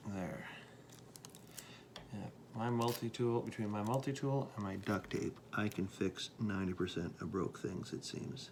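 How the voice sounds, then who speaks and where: Soft-spoken, a man talks at a fairly slow pace with long, frequent pauses. His pitch is fairly low, with ordinary variation. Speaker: pastor making a how-to video. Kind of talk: tutorial. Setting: at home at night. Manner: casual.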